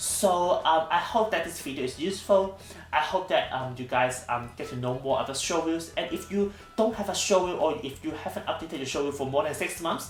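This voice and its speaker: Music plays in the background as a man talks at a fairly quick pace, with audible room echo. His pitch is fairly high, with ordinary variation. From Hong Kong. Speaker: actor. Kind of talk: tutorial. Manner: fast; hesitant, many fillers.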